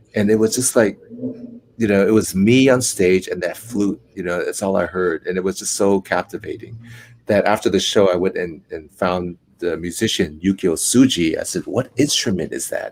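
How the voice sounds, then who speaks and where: Here a man speaks with a Cantonese accent. His pace is moderate. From US West Coast, Oakland, California. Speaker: actor and flute maker. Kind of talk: interview. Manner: calm.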